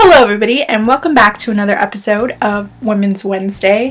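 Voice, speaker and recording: Noticeable noise runs in the background. Over it, a woman talks with ordinary variation in pitch. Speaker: YouTuber. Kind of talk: casual vlog tutorial. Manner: animated.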